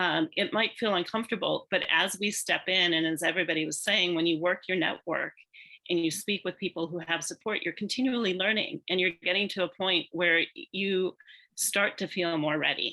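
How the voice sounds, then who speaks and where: This woman speaks with an American accent, her tone bright and sharp and her intonation fairly even. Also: medium pitch for a woman, moderate pace. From United States. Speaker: business panelist. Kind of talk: panel discussion.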